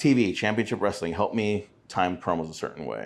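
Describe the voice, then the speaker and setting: This is a man talking. Ordinary pitch variation marks his speech. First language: Spanish. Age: 40s. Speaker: retired professional wrestler. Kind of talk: casual chat. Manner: speaks low; works on steady pace.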